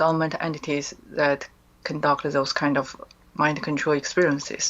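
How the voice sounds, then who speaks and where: Her pitch is very deep and low for a woman, with monotone, flat intonation. She keeps a moderate pace and a very even loudness. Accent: Chinese. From China. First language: Chinese. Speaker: author and mind control survivor. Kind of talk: interview testimony. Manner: hesitant, many fillers.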